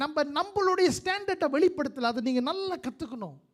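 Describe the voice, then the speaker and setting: A man's voice with very wide pitch swings. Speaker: pastor. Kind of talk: live church sermon.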